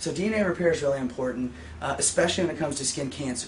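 Light background noise sits behind a man speaking at a very fast pace. His pitch varies in an ordinary way. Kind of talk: interview answer. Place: shop.

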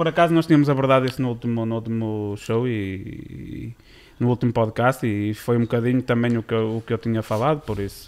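With ordinary pitch variation, a man speaks at a fairly quick speed. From Braga, northern Portugal; northern Portugal. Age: 20s. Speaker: podcast co-host. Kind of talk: casual chat. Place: studio. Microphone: studio mic.

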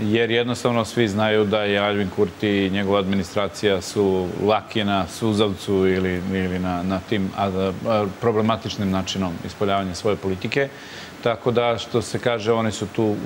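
A man's fairly low, monotone, flat voice at a moderate pace with hardly any pauses, plus light background noise. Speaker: guest, security analyst. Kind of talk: interview answer. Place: studio. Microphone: lapel.

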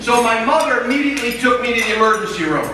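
With audible room echo and light background noise, a man speaks in a raised, projected voice with ordinary pitch variation. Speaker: speaker. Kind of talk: speech telling a story. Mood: humorous storytelling. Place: hall.

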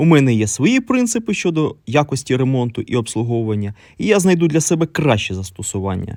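Using very wide pitch swings around a medium pitch, a man speaks at a fairly quick pace. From eastern Ukraine, Donetsk. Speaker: electronics repair technician. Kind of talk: scripted narration.

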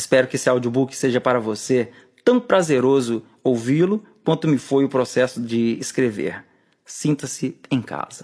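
A plain, everyday voice speaks at a fairly slow pace against a quiet background. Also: man, medium pitch for a man, ordinary pitch variation. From Brazil, rural Espírito Santo. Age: 40s. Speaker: author and musician narrating his own book; audiobook narrator. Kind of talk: audiobook reading.

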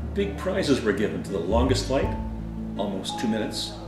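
Clear music sits in the background. Over it, a man talks at a moderate pace. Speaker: paper airplane hobbyist. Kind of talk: hobby demo talk to camera. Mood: calm, friendly. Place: home room. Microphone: camera far.

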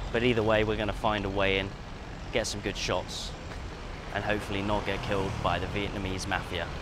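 The man talks at a fairly quick pace. The sound is dry with no echo, and background noise is noticeable. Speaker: travel vlogger. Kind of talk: casual vlog chat. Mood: light, joking. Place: street. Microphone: lapel.

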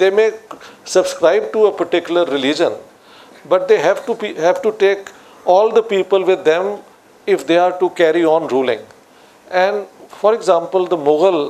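A man talks at a moderate pace with long, frequent pauses. His pitch is high with ordinary variation, and his loudness stays very even. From Pakistan, Lahore; Pakistan. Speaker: political scientist; guest. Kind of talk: public discussion on stage. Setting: stage with audience. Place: studio.

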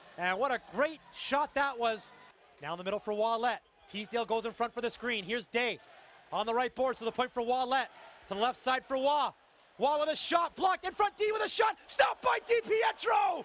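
Over noticeable background noise, a man speaks in an extremely high pitch with an animated tone, very wide pitch swings and a fairly quick pace. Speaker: play-by-play announcer. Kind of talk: live sports commentary, play-by-play of a hockey game. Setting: arena broadcast, highlight package. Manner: animated, excitable, rapid-fire calls that swell on goals; conversational and upbeat, with quips.

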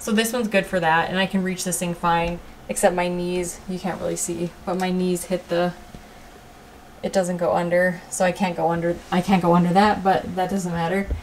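Over light background noise, a woman speaks at a moderate pace. Her pitch is fairly low and her intonation monotone and flat. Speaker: vlogger. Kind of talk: casual vlog chat. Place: home room. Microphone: phone near.

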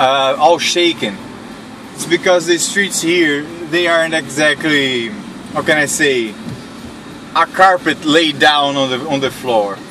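A man speaks at a fairly slow pace with long, frequent pauses and ordinary pitch variation. The sound is dry with no echo, and there is noticeable background noise. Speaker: vlogger driving. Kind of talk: casual vlog chat. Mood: relaxed, laughing often. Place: car. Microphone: phone near.

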